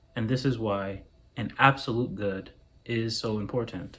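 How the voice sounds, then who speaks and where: A man speaks at medium pitch with fairly even intonation. His pace is fairly slow. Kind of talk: philosophical monologue to camera. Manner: slow, clear enunciation.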